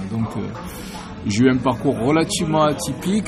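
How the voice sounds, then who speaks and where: A man in a Marseille accent with ordinary pitch variation, music in the background and audible room echo. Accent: southern French (Marseille). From Marseille, southern France. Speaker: novelist and musician. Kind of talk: interview. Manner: hesitant, many fillers.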